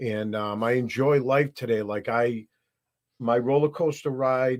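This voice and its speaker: An unremarkable speaking voice from a man with an American accent, medium pitch, fairly even intonation and a fairly slow pace, on a very clean recording with a silent background. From Massachusetts. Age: 60s. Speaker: recovering addict. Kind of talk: testimony.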